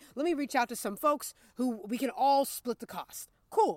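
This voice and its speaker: A woman's pitch swings very widely. The sound is dry and close, with no echo. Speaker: podcast co-host. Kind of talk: casual chat.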